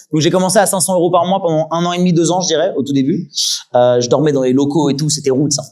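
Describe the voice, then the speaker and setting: A man's fairly high pitch carries ordinary pitch variation. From Île-de-France, Yvelines. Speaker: streamer and content creator. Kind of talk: talk with audience Q&A. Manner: fast.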